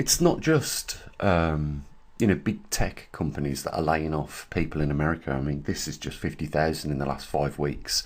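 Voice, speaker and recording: This man's voice is very deep and low, with vocal fry. His pitch varies in an ordinary way. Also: moderate pace. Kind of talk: casual talk to camera.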